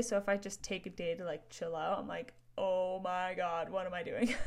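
A woman's voice with ordinary pitch variation comes through a very clean recording with a silent background. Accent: western Canadian. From northern Alberta, Canada. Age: 20s. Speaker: podcast host and entrepreneur. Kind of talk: casual solo monologue. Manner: animated.

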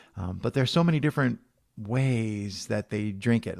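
A man with an American accent and a plain, everyday voice, fairly quick pace and ordinary pitch variation, on a very clean recording with a silent background. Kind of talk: interview conversation.

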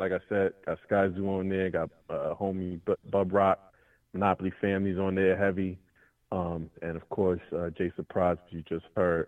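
In a New York accent, a man talks in a very deep, low voice with a monotone, flat intonation. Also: moderate pace. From New York City, Brooklyn. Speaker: rapper. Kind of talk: casual chat.

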